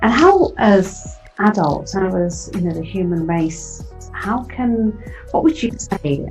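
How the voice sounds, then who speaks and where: Music plays in the background as a woman speaks in a warm, enthusiastic tone. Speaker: radio show host. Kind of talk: interview host talk.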